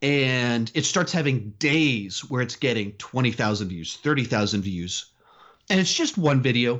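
An unremarkable speaking voice from a man with an American accent, medium in pitch, fairly slow, with lively intonation. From Texas, Austin area. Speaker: movie YouTuber. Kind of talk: interview.

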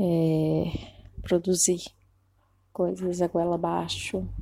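A woman speaks very slowly at a medium pitch, her intonation flat and monotone. Her tone is dark and mellow, and the sound is dry and close with no echo. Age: 30s. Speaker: costume and set designer. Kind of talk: interview, casual chat.

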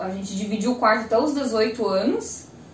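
Noticeable background noise and audible room echo surround a woman speaking at a fairly high pitch with normal pitch variation. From Brazil, Joinville (Santa Catarina). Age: 20s. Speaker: civil engineer. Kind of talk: casual interview chat.

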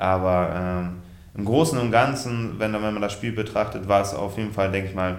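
A man speaking at a moderate pace, with audible room echo. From Westfalen, Germany. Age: 30s. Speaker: handball goalkeeper. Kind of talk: casual interview.

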